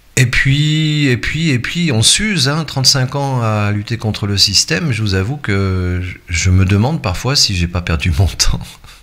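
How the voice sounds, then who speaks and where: A man of medium pitch talks at a fairly slow pace with lively intonation. He leaves hardly any pauses. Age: 60s. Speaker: YouTuber and web radio host. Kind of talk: casual vlog monologue. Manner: hesitant, many fillers.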